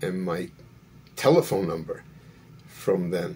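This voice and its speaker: Here a man speaks with a New York accent. His intonation is lively. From New York City (Brooklyn). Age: 70s. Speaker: YouTuber sharing life story. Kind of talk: personal storytelling monologue. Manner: halting, many fillers.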